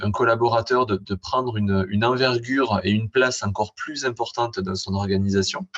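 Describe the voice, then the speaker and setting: At a moderate pace, a man talks in a somewhat breathy voice at a medium pitch. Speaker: university lecturer and digital sustainability expert. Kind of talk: conference talk. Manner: halting.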